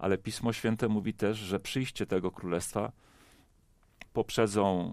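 A man speaks in a dry recording with no echo. The background is quiet. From Poland. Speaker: pastor. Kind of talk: panel discussion. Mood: calm, reflective. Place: studio. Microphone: headset.

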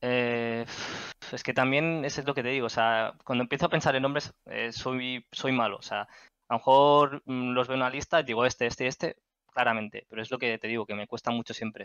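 A man at a fairly quick pace with fairly even intonation, dry sound with no echo and a quiet background. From Spain, Catalonia (Barcelona area). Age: 30s. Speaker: gaming community moderator. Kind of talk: casual interview. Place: home room.

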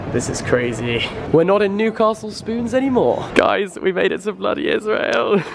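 Noticeable background noise runs under this recording. A man talks at a moderate pace. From England. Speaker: YouTuber. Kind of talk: vlog. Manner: animated. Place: hall. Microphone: phone near.

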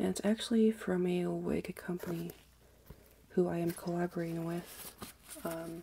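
The speaker is soft-spoken and talks at a fairly slow pace. There is light background noise. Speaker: ASMR creator. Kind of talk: ASMR soft-spoken review.

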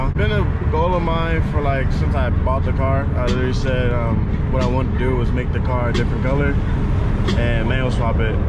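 A man talks fairly quickly with ordinary pitch variation while loud background noise carries on. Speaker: car vlogger. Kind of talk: casual vlog chat. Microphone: phone near.

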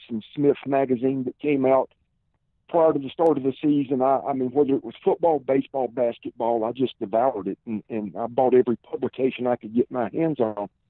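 A man's medium-pitched voice with a Southern US accent and fairly even intonation. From South Carolina, Columbia. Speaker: former football player and pro wrestler. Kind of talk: interview. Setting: phone call.

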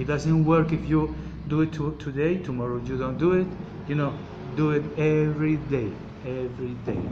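Talking at a moderate pace with long, frequent pauses, a man uses a Colombian accent and a fairly high pitch. His intonation is fairly even, and background noise is noticeable. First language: Spanish. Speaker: oil seller giving health advice. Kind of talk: informal product explanation in a message. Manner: halting, hesitant, searching for words; repetitive, emphatic. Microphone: phone near.

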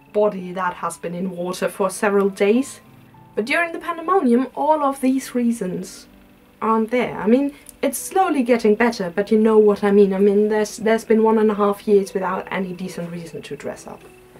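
A woman speaks at a fairly quick pace with big swings in loudness. Faint music sits in the background. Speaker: style vlogger. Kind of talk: casual vlog chat. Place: home room. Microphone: camera far.

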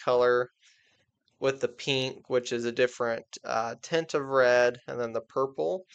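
The quiet background frames a man speaking at a fairly slow pace. His intonation stays monotone and flat. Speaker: presenter. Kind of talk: tutorial. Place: home room. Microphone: webcam.

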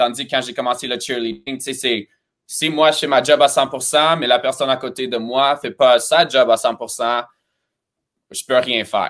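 A man speaks fairly slowly, and the background is quiet. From Romania, then Montreal from age 12. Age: 20s. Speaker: cheerleading coach and choreographer; cheerleading coach. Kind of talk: interview. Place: home room.

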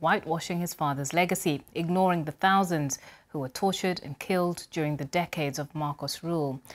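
A woman's fairly quick, fairly even-toned delivery. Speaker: news presenter. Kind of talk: news reading. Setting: studio. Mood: calm, serious. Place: studio. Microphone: lapel.

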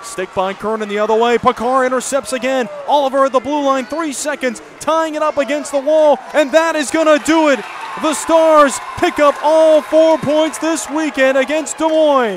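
A man talks at a moderate pace in an extremely high voice with ordinary pitch variation, the sound dry with no echo and noticeable background noise behind him. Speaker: hockey play-by-play announcer. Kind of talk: live play-by-play commentary over game footage, highlight reel. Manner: excitable, rising intensity on goals. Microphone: headset.

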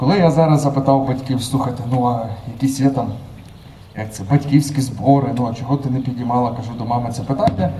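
A man talks at a very fast pace against light background noise. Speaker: conference speaker. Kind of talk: public talk. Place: street. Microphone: handheld.

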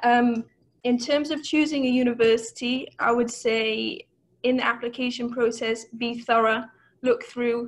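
A woman's high voice with a Welsh accent, fairly even intonation and a fairly slow pace. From Wales. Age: 20s. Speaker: master's student, scholarship recipient. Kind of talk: webinar talk about personal experience. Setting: video call. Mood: friendly, encouraging. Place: home room. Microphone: earbuds.

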